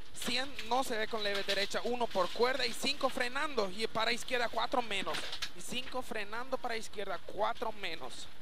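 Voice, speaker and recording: Speech moves at a fairly slow pace, with a dry sound and no echo. Background noise is noticeable. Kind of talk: rally pacenote call. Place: car. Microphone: helmet.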